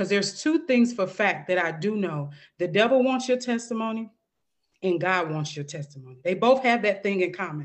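With an American accent, a woman at medium pitch talks at a fairly quick pace, her pitch swinging very widely. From St. Louis, Missouri, US Midwest. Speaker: author and mentor for single moms. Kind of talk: interview testimony.

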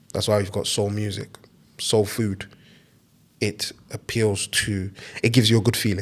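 A somewhat breathy man with fairly low pitch, a moderate pace and long, frequent pauses. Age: 20s. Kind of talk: casual solo Q&A monologue. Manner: animated.

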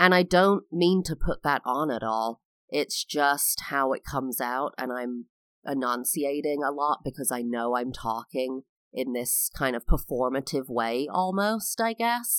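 In a very clean recording with a silent background and a dry, close sound with no echo, a woman speaks with an American accent. Her very deep, low voice moves at a fairly slow pace with lively intonation. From England. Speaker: podcast host. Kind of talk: solo podcast monologue. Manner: expressive, varied inflection.

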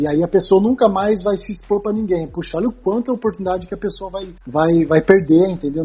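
A man talks with a high pitch and ordinary pitch variation. Noticeable background noise runs behind him. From Brazil, Taubaté (São Paulo state). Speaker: sports psychologist. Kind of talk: casual interview chat. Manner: hesitant with repetitions.

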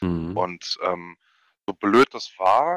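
A man's very deep, low voice, with ordinary pitch variation and a dry, close sound free of echo. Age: 20s. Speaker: esports team captain. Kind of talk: podcast interview.

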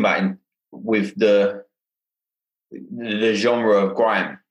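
A man speaks with a London accent. His pitch is medium. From London, Hackney. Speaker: podcast host. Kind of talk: casual interview conversation.

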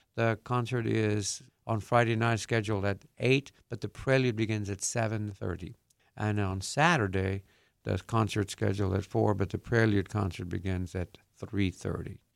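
A man with a fairly low pitch and fairly even intonation at a moderate pace, on a very clean recording with a silent background. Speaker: university choir director. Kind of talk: radio interview. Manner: halting.

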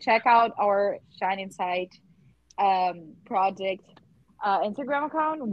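A woman with a Portuguese accent, at a fairly slow pace with lively intonation and long, frequent pauses. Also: medium pitch for a woman. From southern Brazil. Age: 20s. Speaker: volunteer project leader, podcast host. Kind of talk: casual chat.

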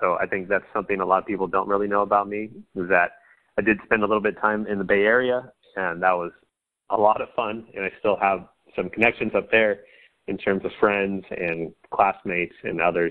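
A man with an American accent, fairly low in pitch, monotone and flat, at a fairly quick pace. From central coast of California. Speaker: sports podcaster. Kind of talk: interview.

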